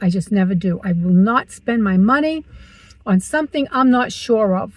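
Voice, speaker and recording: This woman's voice sits at a fairly high pitch and is somewhat breathy. She talks at a fairly slow pace with ordinary pitch variation. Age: 60s. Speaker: vlogger. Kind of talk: casual vlog talk to camera. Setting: in a car.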